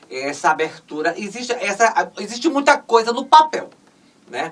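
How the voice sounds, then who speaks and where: There's lively intonation in this woman's speech. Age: 60s. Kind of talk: interview conversation. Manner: halting, many fillers.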